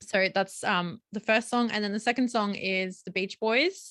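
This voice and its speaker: A woman's medium-pitched, bright, sharp voice with a strong Australian accent, fairly slow and fairly even in intonation, dry and close with no echo. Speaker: podcast co-host, film photographer. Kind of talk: casual chat. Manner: many fillers and hesitations.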